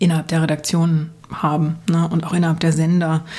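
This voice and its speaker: A woman's voice, very deep and low in pitch, at a moderate pace. Her intonation is monotone and flat. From East Germany, village. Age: 30s. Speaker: journalist and history podcaster. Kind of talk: casual interview. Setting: remote call from the USA.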